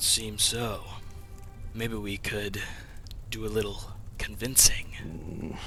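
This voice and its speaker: A man's put-on character voice at medium pitch, very slow, with long, frequent pauses and clear background noise. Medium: actual play.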